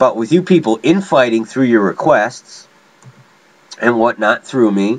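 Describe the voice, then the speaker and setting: Over noticeable background noise, the speaker goes at a fairly slow pace with lively intonation and long, frequent pauses. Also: man, medium pitch for a man. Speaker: DJ and rapper. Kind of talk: vlog rant. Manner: animated.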